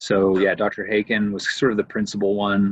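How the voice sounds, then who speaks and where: A man with a Canadian accent and a very deep, low pitch speaks at a fairly quick pace. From Canada, Windsor, Ontario. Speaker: professor of historical theology. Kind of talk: casual interview conversation.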